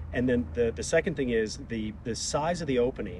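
Over noticeable background noise, a man speaks at a fairly quick pace with very wide pitch swings, the sound dry with no echo. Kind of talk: interview answer. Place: street. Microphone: camera far.

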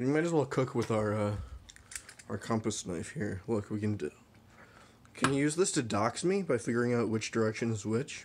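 A man at a moderate pace, with long, frequent pauses and light background noise. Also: lively intonation. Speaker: vlogger. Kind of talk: casual vlog chat. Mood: disgusted, amused, agitated. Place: kitchen. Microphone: phone near.

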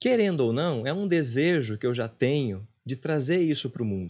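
A man talks with very wide pitch swings, his voice somewhat breathy. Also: quiet background. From interior of São Paulo state, Brazil (Presidente Venceslau); São Paulo state, Brazil. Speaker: meditation teacher and former actor; meditation teacher, former actor. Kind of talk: casual interview. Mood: reflective, personal. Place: studio. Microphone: studio mic.

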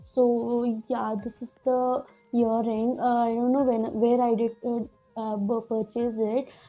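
Faint music plays in the background as a woman speaks. Her delivery is very slow, with monotone, flat intonation. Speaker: beauty vlogger. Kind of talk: casual tutorial vlog chat. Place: home room. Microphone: lapel.

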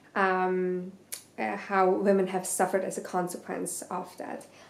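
A woman's voice carries audible room echo. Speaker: book vlogger. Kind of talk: casual chat. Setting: video to camera. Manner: casual, hesitant with fillers. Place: home room. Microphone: camera far.

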